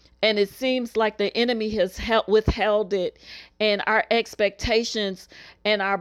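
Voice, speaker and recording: An unremarkable speaking voice talks at a fairly slow pace with fairly even intonation. The sound is dry and close with no echo, on a very clean recording with a silent background. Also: woman. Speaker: minister leading weekly prayer. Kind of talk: fervent prayer and decree, urgent, pleading, declaring blessings. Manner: fervent; declarative, repetitive.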